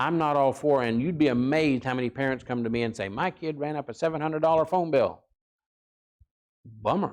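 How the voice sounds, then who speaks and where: A man with an ordinary speaking voice talks fairly quickly, his pitch fairly high. Pitch variation is ordinary and the background quiet. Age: 60s. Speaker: parenting seminar speaker, counselor. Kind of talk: seminar talk. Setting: church.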